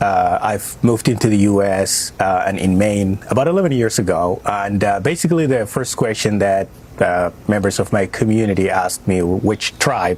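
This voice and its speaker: A man talks at a moderate pace with very even loudness. Noticeable background noise is present. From Somalia. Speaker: refugee and community critic. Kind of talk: TV news interview. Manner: hesitant, many fillers.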